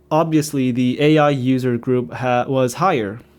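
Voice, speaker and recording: A man with a Korean accent at a medium pitch, speaking at a fairly slow pace, on a very clean recording with a silent background. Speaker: YouTuber. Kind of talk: unscripted monologue. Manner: halting, stuttering.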